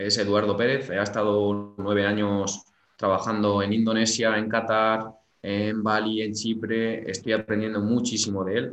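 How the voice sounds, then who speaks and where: Here is a man with a plain, everyday voice. He talks at a fairly slow pace and a fairly low pitch. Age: 20s. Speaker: sports psychologist. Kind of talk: interview.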